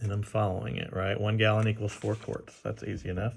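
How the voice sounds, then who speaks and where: Vocal fry marks this man's fairly low voice. He talks at a moderate pace. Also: very clean recording, silent background. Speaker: math teacher. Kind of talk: tutorial. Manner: casual, halting.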